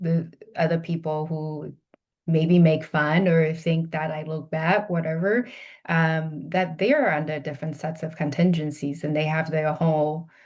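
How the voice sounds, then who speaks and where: Monotone, flat delivery from a woman with a Chinese accent and a very deep, low pitch. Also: fairly slow pace, quiet background. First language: Mandarin Chinese. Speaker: healthcare executive, behavior analyst. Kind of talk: podcast interview. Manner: halting, many fillers and restarts.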